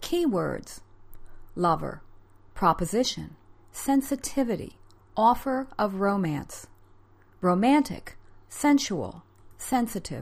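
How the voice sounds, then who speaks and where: Speaking very slowly with long, frequent pauses, a woman with an American accent and a medium pitch sounds somewhat breathy and makes very wide pitch swings. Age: 50s. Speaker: podcast host and author. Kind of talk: scripted narration with chatty intro. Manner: conversational, laughs often.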